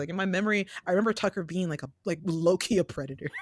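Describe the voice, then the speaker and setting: Over noticeable background noise, a woman talks at a very fast pace with lively intonation and a medium pitch, in a dry, close sound with no echo. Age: 30s. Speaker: indie animator and podcast co-host. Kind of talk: casual chat.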